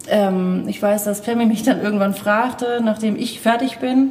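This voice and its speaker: A woman talks fairly slowly in a fairly high voice. Noticeable background noise can be heard. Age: 40s. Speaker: zero-waste shop owner. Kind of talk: interview. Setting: inside a shop during business hours.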